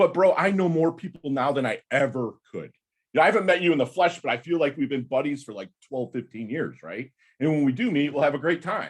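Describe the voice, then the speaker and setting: The speaker talks at a fairly quick pace. Vocal fry runs through the voice. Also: man. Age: 50s. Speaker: navy veteran and podcaster. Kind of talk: casual chat. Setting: video call. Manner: loud.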